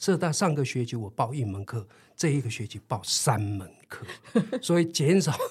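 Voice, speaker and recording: Somewhat breathy male voice, fairly high in pitch, with very wide pitch swings. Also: moderate pace. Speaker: retired PE teacher. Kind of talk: interview. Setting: studio.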